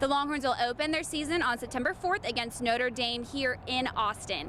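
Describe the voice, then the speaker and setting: With noticeable background noise, a woman uses a raised, projected voice, high in pitch with ordinary variation, at a moderate pace. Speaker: sports reporter. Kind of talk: sports news report voiceover.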